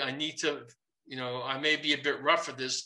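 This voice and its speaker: A man's bright, sharp tone at a moderate pace. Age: 60s. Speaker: psychologist presenter. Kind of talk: lecture; Q&A discussion.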